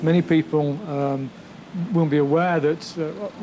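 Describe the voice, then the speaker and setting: Over light background noise, a man speaks with fairly even intonation. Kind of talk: interview answer. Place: office.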